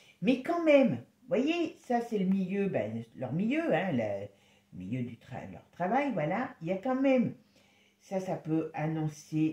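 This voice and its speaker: A woman's pitch swings very widely as she speaks at a fairly slow pace. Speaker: tarot reader. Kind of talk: tarot reading video. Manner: casual, hesitant.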